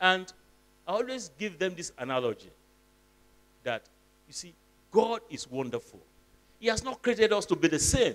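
At a moderate pace, a man speaks at a high pitch with very wide pitch swings and long, frequent pauses. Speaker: professor, guest lecturer. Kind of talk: lecture. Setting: stage with audience.

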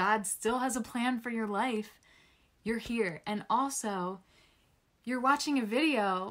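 Against a quiet background, a woman speaks at a fairly slow pace with ordinary pitch variation. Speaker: vlogger on brain injury. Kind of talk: casual encouraging vlog talk. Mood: warm, encouraging. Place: home room. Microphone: phone near.

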